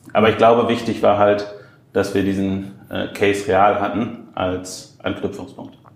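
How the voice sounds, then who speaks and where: A man speaks at a moderate pace in a fairly low pitch, with flat, monotone intonation. Some room echo can be heard. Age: 30s. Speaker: e-commerce executive. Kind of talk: interview. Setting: airport.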